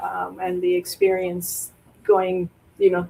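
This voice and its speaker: At a fairly slow pace, the talking continues through noticeable background noise. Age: 60s. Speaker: show panelist. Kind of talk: casual chat.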